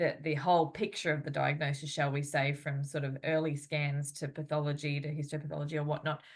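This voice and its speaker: A woman's very deep, low voice in an Australian accent, monotone and flat, at a fairly quick pace with hardly any pauses, over a quiet background. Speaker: physiotherapist and interviewer. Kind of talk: interview. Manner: halting.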